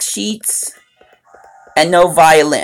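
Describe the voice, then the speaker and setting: A woman talks in an animated tone. Music plays in the background. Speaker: gaming livestreamer. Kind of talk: livestream chat. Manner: loud.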